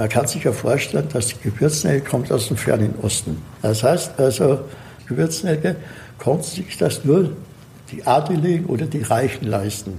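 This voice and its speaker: A man at a moderate pace, medium in pitch, with very wide pitch swings and audible room echo. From Austria. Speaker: herb expert and cook. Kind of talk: interview.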